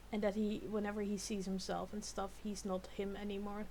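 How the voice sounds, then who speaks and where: A woman with a non-native accent speaks at a moderate pace. Room echo is audible. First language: not English. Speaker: YouTube reactor. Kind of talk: reaction video commentary. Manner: halting, many repeated words; animated.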